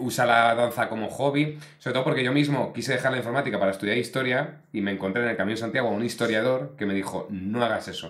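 Barely pausing, a man rattles along at a very fast pace in an animated tone with ordinary pitch variation. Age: 40s. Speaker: podcast host. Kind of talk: casual interview chat. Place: studio. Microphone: studio mic.

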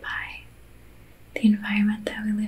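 A soft-spoken woman with an American accent. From Belgium. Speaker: reiki practitioner. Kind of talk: ASMR reiki session. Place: home room. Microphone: studio mic.

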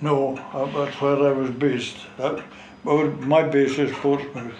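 At a very slow pace and in a flat monotone, a man with a North East Scottish accent speaks at a fairly high pitch, with audible room echo and light background noise. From North East Scotland. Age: 80s+. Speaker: war veteran, fishing skipper. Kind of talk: interview answer. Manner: slow, hesitant. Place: home room. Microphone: camera far.

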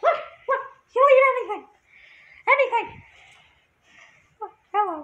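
Extremely high put-on character voice with long, frequent pauses. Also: moderate pace. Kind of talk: casual talk to camera. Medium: role play. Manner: playful, excitable.

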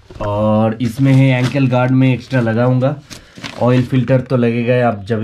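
A man's flat, monotone voice at a fairly slow pace, with light background noise. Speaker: motorbike vlogger. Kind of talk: casual vlog chat. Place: home room. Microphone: phone near.

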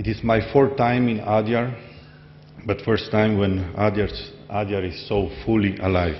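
A man in a Slovenian accent at a fairly slow pace, with light background noise. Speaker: society member; speaker. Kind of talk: speech. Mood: warm, smiling, reflective. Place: hall. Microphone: podium.

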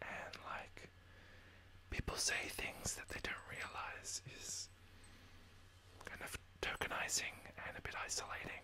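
The words are whispered. They come out fairly slowly. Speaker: ASMR creator. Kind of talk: ASMR whisper, casual talk to camera. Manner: whispered, soft-spoken. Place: home room. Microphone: studio mic.

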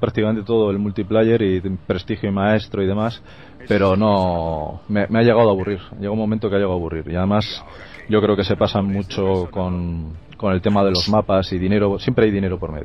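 A man speaks in a Castilian accent at a fairly low pitch. The sound is dry with no echo, and there is light background noise. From Spain. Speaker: gaming youtuber. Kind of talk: casual chat. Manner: animated.

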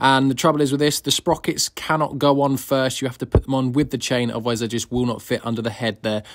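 Against a quiet background, a man talks at a very fast pace. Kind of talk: tutorial. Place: workshop.

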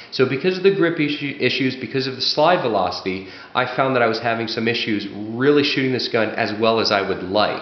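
Room echo is audible as a man speaks at a moderate pace. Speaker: firearms reviewer and competitive shooter. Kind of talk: product review, explanatory monologue. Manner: explanatory, conversational. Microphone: camera far.

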